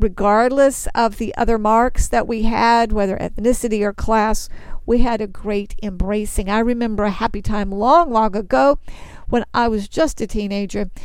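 A woman's fairly high voice with a Texas accent, ordinary pitch variation and a moderate pace. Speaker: Bible teacher. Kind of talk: sermon.

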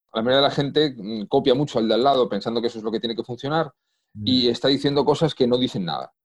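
Talking at a very fast pace, a man with an Asturian accent keeps a medium pitch and ordinary pitch variation. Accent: Asturian Spanish, picked up. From Spain, Madrid. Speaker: copywriter. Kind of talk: interview conversation.

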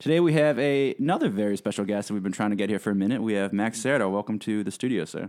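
This man talks very fast at a medium pitch, with ordinary pitch variation. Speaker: podcast host. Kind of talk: upbeat host intro and interview. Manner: warm, enthusiastic.

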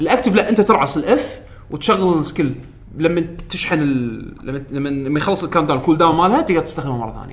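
Very fast, lively speech with big swings in loudness over noticeable background noise. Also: man, fairly high pitch for a man. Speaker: podcast host. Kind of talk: casual chat. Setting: studio.

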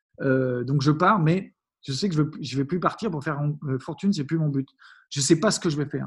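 The speaker talks at a fairly quick pace in a somewhat breathy voice with ordinary pitch variation. Long, frequent pauses break up the speech. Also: man, fairly high pitch for a man. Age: 40s. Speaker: happiness coach and entrepreneur. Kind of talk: interview. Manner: halting, many fillers and restarts.

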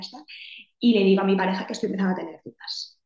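A woman speaks at a medium pitch. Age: 30s. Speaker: psychologist. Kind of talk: casual interview.

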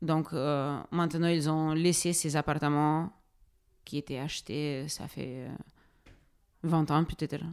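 Very slowly, a woman speaks with a very deep, low pitch and fairly even intonation. The recording is very clean, with a silent background. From Ukraine, Donetsk. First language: Ukrainian or Russian (speaking French). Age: 30s. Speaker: social worker and refugee helper. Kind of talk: interview testimony. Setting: refugee reception centre. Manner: halting, many hesitations.

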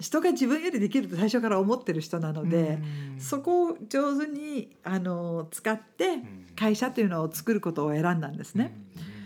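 With a dark, mellow tone and a medium pitch, a woman speaks at a moderate pace using very wide pitch swings. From outside Japan. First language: not Japanese (speaking Japanese). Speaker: businesswoman and podcast host. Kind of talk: interview chat.

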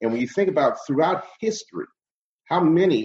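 With vocal fry and very wide pitch swings, a man speaks in an American accent. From Cleveland, Ohio (Glenville). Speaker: radio host and comedian. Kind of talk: interview conversation.

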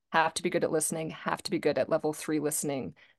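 Very fast speech with an American accent. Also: woman, quiet background. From Virginia, US. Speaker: executive and creative coach. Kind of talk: interview.

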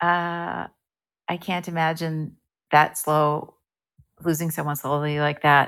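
Over a silent background in a very clean recording, a woman with an American accent speaks very slowly in a very deep, low, flat monotone, leaving long, frequent pauses. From New Jersey, US. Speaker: actress and improv performer. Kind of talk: casual interview.

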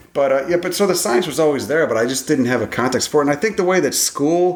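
A man's fairly high-pitched voice at a fast pace, with lively intonation

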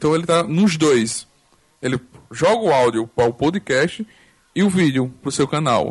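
Lively, expressive intonation at a fairly slow pace, with long, frequent pauses, a somewhat breathy quality and very even loudness. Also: man, fairly high pitch for a man. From Arapiraca, Alagoas, Brazil. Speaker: podcaster. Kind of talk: casual chat. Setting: online group call.

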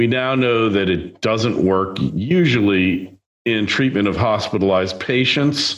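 At a fairly slow pace, a man speaks with a fairly low pitch, ordinary pitch variation and very even loudness, with audible room echo around him. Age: 60s. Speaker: podcast host. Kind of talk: monologue. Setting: video recording.

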